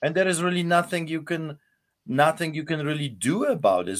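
A man's fairly high voice with vocal fry, at a moderate pace, on a very clean recording with a silent background. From Poland. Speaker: pastor. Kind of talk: interview.

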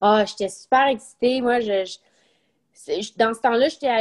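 Here is a woman with a plain, everyday voice and a fairly high pitch. Her intonation stays fairly even. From Quebec. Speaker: retired professional golfer. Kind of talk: interview.

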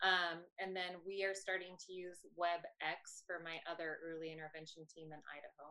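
A woman speaks at a moderate pace with hardly any pauses, in a monotone, flat way. Her fairly low voice has a bright, sharp tone and big swings in loudness. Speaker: early intervention teletherapy SLP. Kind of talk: panel discussion.

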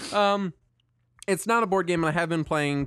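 A man with an American accent on a very clean recording with a silent background. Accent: rural Southern US twang, usually suppressed. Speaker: podcast co-host. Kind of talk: casual chat.

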